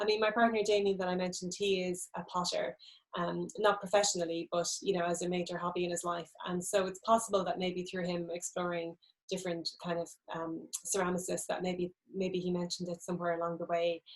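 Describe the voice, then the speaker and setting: Speaking at a fairly quick pace, a woman with an Irish accent uses a fairly low pitch and monotone, flat intonation. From Ireland, Midlands (County Laois). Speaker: novelist. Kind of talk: book event interview. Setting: live stream.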